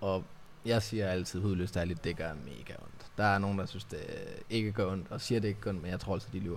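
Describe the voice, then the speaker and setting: There is audible room echo as a man with vocal fry talks at a fairly quick pace, his pitch fairly low with ordinary variation. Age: 30s. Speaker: podcast host, tattoo studio owner. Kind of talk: casual interview chat.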